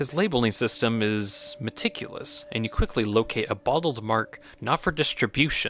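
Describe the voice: Lively intonation colors plain reading aloud.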